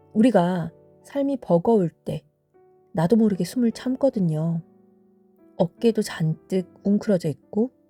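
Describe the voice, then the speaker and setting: A woman speaks at a very slow pace and medium pitch, with long, frequent pauses and music in the background. Her tone is calm and her intonation lively. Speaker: vocal therapist and singer. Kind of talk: sleep-time audio essay reading. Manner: soft-spoken, calm.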